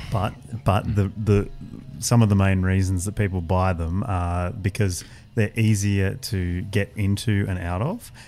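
Music plays behind a man speaking in an Australian accent with fairly even intonation. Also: fairly low pitch for a man, fairly slow pace. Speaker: motoring journalist, senior editor. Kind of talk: casual chat.

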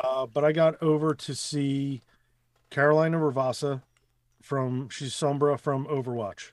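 A man with an American accent and a fairly high pitch speaks at a fairly slow pace in a monotone, flat intonation. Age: 40s. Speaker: voice actor. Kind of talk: casual chat.

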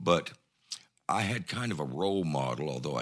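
A man talks at a moderate pace with an Ozark accent. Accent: Southern US (Ozarks). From US South, northwest Arkansas. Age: 70s. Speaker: former mayor. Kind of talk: casual interview.

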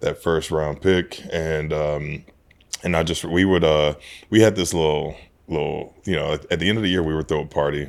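With an American accent, a man talks at a fairly quick pace in a very deep, low pitch, his intonation monotone and flat. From Houston, Texas. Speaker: retired NFL player. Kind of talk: casual interview.

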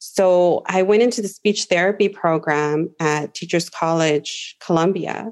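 The speaker has a normal speaking voice with an American accent and ordinary pitch variation. The background is quiet. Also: woman. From Los Angeles (Watts). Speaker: teacher. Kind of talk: casual chat.

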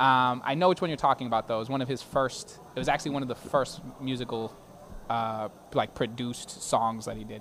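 A man talks in an unremarkable speaking voice with an American accent. His medium-pitched voice moves at a fairly quick pace. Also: ordinary pitch variation. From Boston, Hyde Park. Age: 30s. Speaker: attorney and city council candidate. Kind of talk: interview. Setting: live broadcast from a brewery.

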